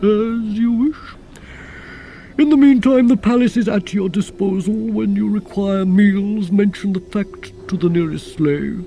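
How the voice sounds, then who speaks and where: A put-on character voice at a middle pitch and a fairly slow pace, with clear background noise. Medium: read story. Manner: dry, measured, ironic.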